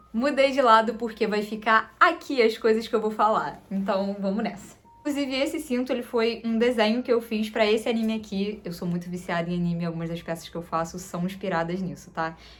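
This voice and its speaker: Music plays behind a woman with a fairly high voice. She barely pauses at all. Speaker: fashion designer and seamstress, content creator. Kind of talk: sewing tutorial. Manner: fast; animated.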